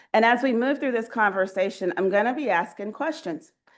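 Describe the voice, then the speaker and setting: A woman speaks with a Southern US accent and lively intonation. The background is quiet. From US Southeast. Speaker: research ethics leader. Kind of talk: keynote speech. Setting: stage with audience. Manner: conversational, interactive.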